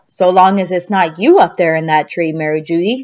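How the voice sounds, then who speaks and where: A put-on character voice that sounds female talks fairly quickly at a middle pitch. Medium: read story.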